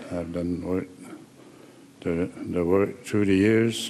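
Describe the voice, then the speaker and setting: A man speaks with a very deep, low pitch. His pace is fairly slow. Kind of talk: ceremonial speech. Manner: halting.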